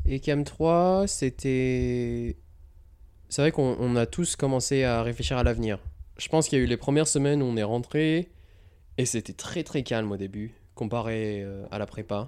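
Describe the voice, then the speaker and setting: With a dark, mellow tone and medium pitch, a man speaks at a fairly slow pace, his pitch varying in an ordinary way and broken by long, frequent pauses. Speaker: retail buying and planning professional at an electric vehicle company. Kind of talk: casual interview chat. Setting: at home in Los Angeles. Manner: casual, filler words, mixes English.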